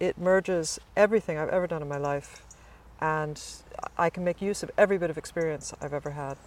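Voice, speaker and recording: A woman with an American accent talks at a fairly quick pace in a fairly low pitch with ordinary pitch variation, the sound dry and close with no echo. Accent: American, noticeable to English listeners. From US East Coast, Virginia suburbs. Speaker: college chaplain. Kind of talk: casual interview. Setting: chapel.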